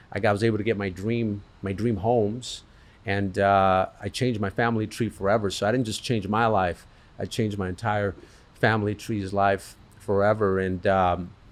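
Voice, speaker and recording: A man's fairly low voice with a Spanish accent, at a moderate pace, in monotone, flat intonation. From Colombia, raised in US from age 6. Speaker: business owner. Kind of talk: interview.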